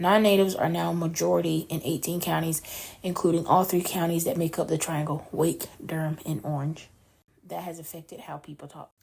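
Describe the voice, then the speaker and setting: With an American accent and a plain, everyday voice, a woman speaks fairly quickly at a fairly low pitch, her intonation fairly even but her loudness swinging widely, on a very clean recording with a silent background. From North Carolina. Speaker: podcast co-host. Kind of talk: news reading. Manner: conversational.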